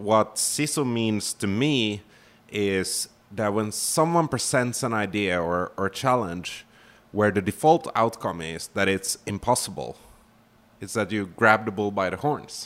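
A man with a Finnish accent speaks very slowly at a fairly low pitch, with ordinary pitch variation. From Finland. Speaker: startup founder and CEO. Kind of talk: interview. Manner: halting, many fillers.

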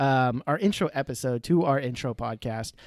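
A man with an American accent and ordinary pitch variation, on a very clean recording with a silent background and a dry, close sound with no echo. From central Texas. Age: 30s. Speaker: podcast host. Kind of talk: casual chat. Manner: hesitant, many fillers.

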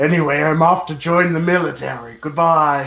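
A man puts on a character voice with fairly even intonation. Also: fairly high pitch for a man, moderate pace. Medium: actual play. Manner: refers to self in third person, broken grammar.

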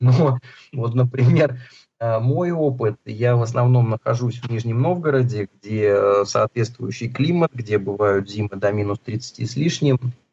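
A man's somewhat breathy, medium-pitched voice at a very slow pace, with ordinary pitch variation. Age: 40s. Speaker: healthy-eating author and food entrepreneur. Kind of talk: interview.

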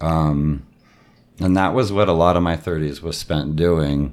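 A man with a very deep, low pitch talks at a very slow pace with fairly even intonation. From San Diego, California. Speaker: improviser. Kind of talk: interview.

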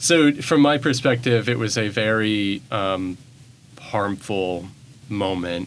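With an American accent, a man talks at a very slow pace. His pitch is fairly low, with ordinary variation. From Bentonville, Arkansas. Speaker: arts program director. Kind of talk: interview. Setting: studio.

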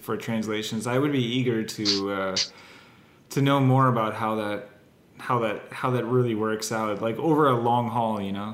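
This man has a plain, everyday voice, speaking at a moderate pace with fairly even intonation and a medium pitch. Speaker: podcast co-host. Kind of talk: casual chat. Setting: remote call.

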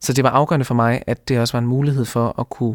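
In a very clean recording with a silent background and a dry, close sound with no echo, a man at medium pitch talks very fast with fairly even intonation. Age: 20s. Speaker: law student. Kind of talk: interview.

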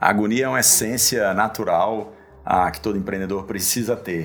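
Ordinary pitch variation accompanies a delivery at a moderate speed. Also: man. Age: 40s. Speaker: tech entrepreneur and investor. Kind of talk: interview.

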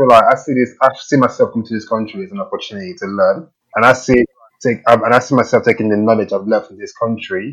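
A man talks at a fast pace with a fairly low pitch and a fairly bright tone that carries a slightly husky edge. His intonation stays fairly even.

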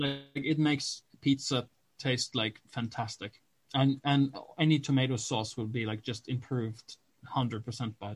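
Speaking in a Norwegian accent, a man has a medium pitch, a somewhat breathy voice, fairly even intonation and a moderate pace. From Norway. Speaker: podcast co-host. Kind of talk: casual chat.

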